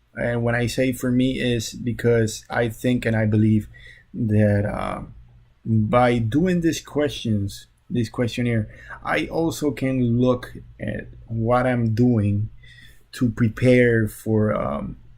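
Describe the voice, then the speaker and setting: Very slowly, a man speaks with a Spanish accent at medium pitch. His voice is somewhat breathy, with ordinary pitch variation. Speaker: social work graduate student. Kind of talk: class presentation. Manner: halting, many fillers.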